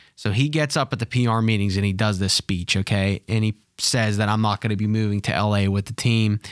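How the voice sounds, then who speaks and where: A man with a fairly low pitch talks at a fairly quick pace with hardly any pauses, very even loudness and fairly even intonation, recorded dry and close with no echo on a very clean recording with a silent background. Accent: Pittsburgh. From Pittsburgh. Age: 30s. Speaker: former sports PR staffer. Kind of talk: casual chat.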